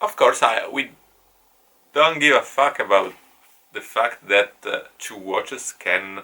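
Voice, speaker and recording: Speaking at a very slow pace, a man talks with an Italian accent. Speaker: online course teacher. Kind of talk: lecture. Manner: halting.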